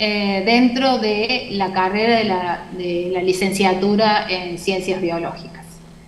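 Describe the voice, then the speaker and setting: A woman with medium pitch speaks at a very slow pace, with fairly even intonation and hardly any pauses. Noticeable background noise can be heard. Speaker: university lecturer. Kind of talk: lecture. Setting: video call.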